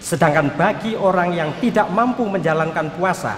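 A man talks at a fairly slow pace. Audible room echo and light background noise surround his voice. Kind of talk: sermon. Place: church. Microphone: podium.

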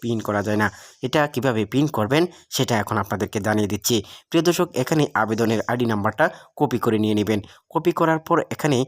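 In a very clean recording with a silent background and a dry, close sound free of echo, a man with a plain, everyday voice speaks at a medium pitch with ordinary pitch variation. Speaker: tech tutorial youtuber. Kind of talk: screen-recorded tutorial.

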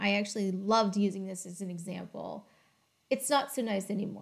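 The woman keeps a moderate pace with a quiet background. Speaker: educator on data topics. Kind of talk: tutorial. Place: home room. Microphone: webcam.

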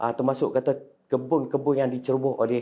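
A man talks fairly quickly, his tone dark and mellow. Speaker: army veteran. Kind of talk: personal testimony. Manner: halting, many fillers.

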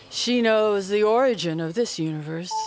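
A medium-pitched woman's voice with lively intonation and music in the background. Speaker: poet. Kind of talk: poetry reading.

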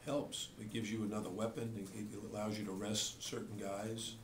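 Over light background noise and with audible room echo, a man talks at a fairly quick pace in a monotone, flat intonation with a fairly low pitch. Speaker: basketball coach. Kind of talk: press conference answers. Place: hall.

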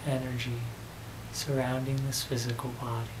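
A man's soothing tone over noticeable background noise. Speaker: channeler and meditation guide. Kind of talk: guided meditation. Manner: slow, soothing, with long pauses; gentle, repetitive, calming. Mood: serene, soft, slow. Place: home room.

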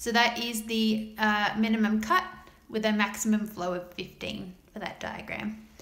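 A woman at fairly high pitch with fairly even intonation and a fairly slow pace, against noticeable background noise. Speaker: maths tutor. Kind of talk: math tutorial narration. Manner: casual, explanatory.

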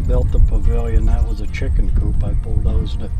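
A man at a moderate pace, dry sound with no echo, loud music in the background. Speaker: farmer. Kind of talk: interview answer. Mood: relaxed storytelling. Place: farm machine.

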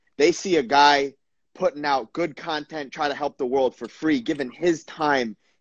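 At a fairly slow pace, a man speaks in an ordinary speaking voice with ordinary pitch variation, the sound dry with no echo and the background quiet. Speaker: podcast host, former footballer. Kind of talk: casual interview. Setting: video call. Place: home room. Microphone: video call.

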